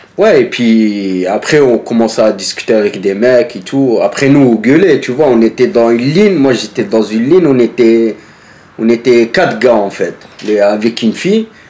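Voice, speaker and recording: A man's medium-pitched voice at a moderate pace, lively in intonation and very even in loudness, over noticeable background noise. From northern France. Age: 30s. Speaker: former striking factory worker. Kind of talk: casual interview. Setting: filmed interview.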